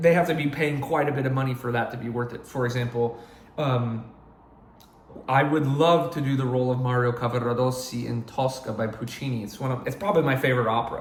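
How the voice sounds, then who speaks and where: Speech at a very fast pace with fairly even intonation carries audible room echo and noticeable background noise. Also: man, medium pitch for a man. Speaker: opera singer. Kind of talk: casual vlog monologue.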